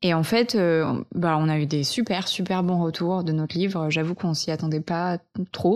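A woman's fairly quick, fairly low-pitched delivery, a plain, everyday voice with fairly even intonation. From French Alps, Vercors. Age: 20s. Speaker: eco content creator. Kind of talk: casual interview. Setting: host's living room.

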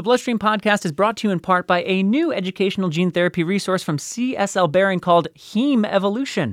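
A man with a high pitch and ordinary pitch variation, fairly quick with hardly any pauses, on a very clean, dry, close recording with no echo and a silent background. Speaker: podcast host. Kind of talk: podcast hosting, news reading.

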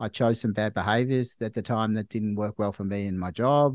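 Speaking with an Australian accent, a man talks at a fairly low pitch with fairly even intonation, the sound dry and close with no echo. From Australia, Melbourne. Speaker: doctor. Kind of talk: casual chat. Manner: halting.

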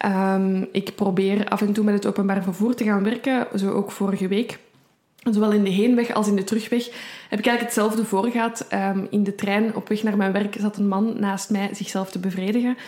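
At a fairly quick pace, a woman talks in a monotone, flat intonation. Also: medium pitch for a woman, very even loudness. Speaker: true crime podcast co-host. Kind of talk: casual true crime storytelling.

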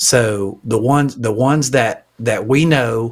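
This man speaks with a Southern accent at a medium pitch. His intonation is fairly even. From Alabama. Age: 50s. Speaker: pastor and leadership coach. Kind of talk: casual interview.

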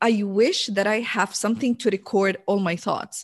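A woman with an Arabic accent, animated in tone. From Jordan. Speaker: entrepreneur and business coach. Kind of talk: interview.

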